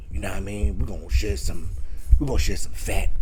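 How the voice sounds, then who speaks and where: A man performs in a put-on character voice. Background noise is clearly audible. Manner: suave, seductive.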